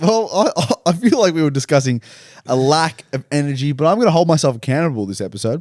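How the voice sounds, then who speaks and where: Someone mumbles very fast with an Australian accent and very wide pitch swings, the sound dry and close with no echo in a very clean recording with a silent background. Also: man, fairly high pitch for a man. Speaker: podcast co-host. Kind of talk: casual chat. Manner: mumbling.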